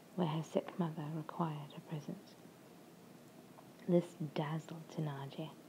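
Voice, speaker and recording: Soft-spoken and calm, a woman with an English accent has a dark, mellow, somewhat breathy tone. Her pitch is fairly low and her intonation fairly even. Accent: English accent, self-described as imperfect. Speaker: ASMR reader. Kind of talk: audiobook-style reading of a novel chapter for relaxation. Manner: soft-spoken, calm, ASMR.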